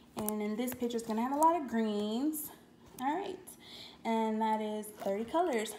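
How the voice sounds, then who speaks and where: Lively intonation marks a woman's fairly high voice at a moderate pace. There is audible room echo and light background noise. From Louisiana. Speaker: YouTuber, crafting hobbyist; craft hobby vlogger. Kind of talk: product unboxing video. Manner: casual, chatty with fillers. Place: home room. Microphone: phone near.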